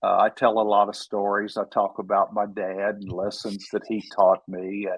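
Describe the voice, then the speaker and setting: Monotone, flat delivery with a Texan accent. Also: man, fairly low pitch for a man. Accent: Texan drawl. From Texas. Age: 70s. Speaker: author. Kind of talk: interview.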